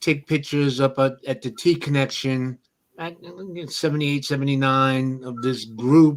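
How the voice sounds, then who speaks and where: With a New York accent, a man speaks at a medium pitch and a moderate pace. His intonation is fairly even, and the recording is very clean with a silent background. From New York, South Bronx. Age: 60s. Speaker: hip-hop photographer. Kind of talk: interview.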